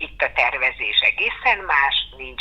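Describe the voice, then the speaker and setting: The speech comes at a very slow pace. Noticeable background noise runs underneath. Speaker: folk art representative. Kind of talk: interview.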